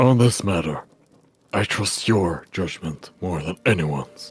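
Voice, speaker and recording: A man's put-on character voice, very deep and low, at a fairly slow pace, with faint music in the background. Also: ordinary pitch variation. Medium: read story. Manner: terse, quiet.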